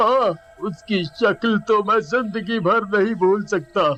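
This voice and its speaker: A man's cackling put-on character voice, high in pitch, at a fairly slow pace, with faint music in the background. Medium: cartoon. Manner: cackling, erratic laughter.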